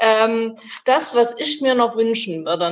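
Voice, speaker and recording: A woman speaks at a moderate pace. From Bavaria. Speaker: car factory worker and union activist. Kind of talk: panel discussion. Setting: video call.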